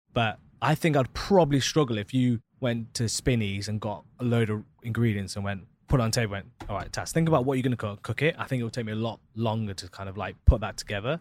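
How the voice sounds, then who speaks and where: Here is a man with an East Midlands accent. He talks very fast, with hardly any pauses, on a very clean recording with a silent background. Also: medium pitch for a man, ordinary pitch variation. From Leicester, England. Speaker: podcast host. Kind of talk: casual chat.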